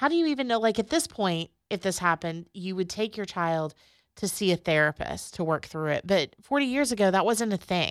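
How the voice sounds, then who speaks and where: A woman with a plain, everyday voice and medium pitch talks at a fairly quick pace with lively intonation, her voice dry and close with no echo in a very clean recording with a silent background. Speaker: podcast host. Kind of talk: guided prayer and interview.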